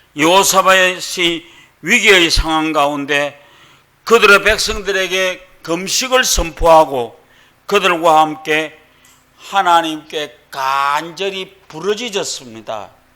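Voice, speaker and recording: Speaking very slowly, a man with a Gyeongsang accent uses a high pitch with ordinary pitch variation. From Gyeongsang region, South Korea. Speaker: pastor. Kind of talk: sermon.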